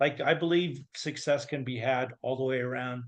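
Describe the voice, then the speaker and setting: With an American accent and an unremarkable speaking voice, a man talks at a fairly quick pace with ordinary pitch variation against a quiet background. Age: 60s. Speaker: confidence coach. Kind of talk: podcast interview.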